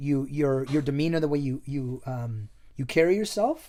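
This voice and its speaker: In a very clean recording with a silent background, a man speaks in a Canadian accent at a moderate pace. His tone is dark and mellow, his pitch fairly high, with ordinary pitch variation. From Canada, raised from early childhood, born in Chile. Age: 40s. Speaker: hospitality worker and business owner. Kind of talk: casual chat.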